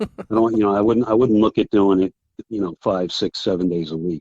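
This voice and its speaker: A man speaks at a fairly quick pace. His fairly low pitch shows ordinary pitch variation. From New Jersey. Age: 60s. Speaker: fly fishing guide. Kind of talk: casual chat.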